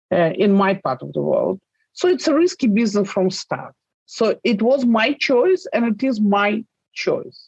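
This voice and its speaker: A somewhat breathy woman's voice, fairly high and with very wide pitch swings, at a fairly slow pace in a dry, close sound with no echo. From Russia. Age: 60s. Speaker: journalist. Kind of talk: interview.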